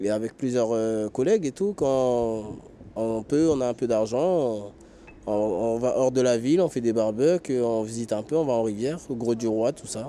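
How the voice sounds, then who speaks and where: Here a man's tone is dark and mellow. He keeps a moderate pace. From French Guiana, of Surinamese descent. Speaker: homeless man, former care worker. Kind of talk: interview. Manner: hesitant, with many fillers.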